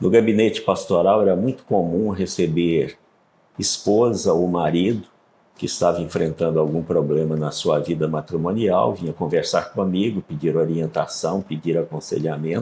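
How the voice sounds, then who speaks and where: A man talks with a very deep, low pitch. His tone is dark and mellow. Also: ordinary pitch variation, moderate pace. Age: 70s. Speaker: pastor and author. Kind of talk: interview.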